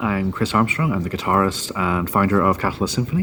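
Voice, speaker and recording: Over noticeable background noise, a man with a Northern Irish accent speaks at a fairly quick pace and a fairly low pitch. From Northern Ireland. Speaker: guitarist and band founder. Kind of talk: interview.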